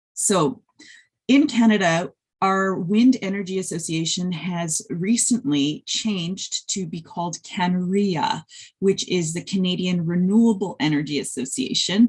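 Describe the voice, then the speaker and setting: The speaker's somewhat breathy voice moves at a fairly slow pace with lively intonation. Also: woman, medium pitch for a woman. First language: Polish. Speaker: wind energy researcher and industry professional. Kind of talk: conference presentation. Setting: webinar video call. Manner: hesitant with fillers.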